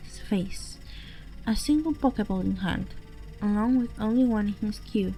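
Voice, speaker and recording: A woman with a non-native accent speaks while music plays in the background. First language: not English. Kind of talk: horror story narration. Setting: home microphone.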